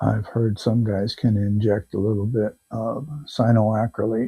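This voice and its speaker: A man's somewhat breathy voice, dark and mellow in tone, at a very slow pace. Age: 60s. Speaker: live auction seller. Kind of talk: live selling stream.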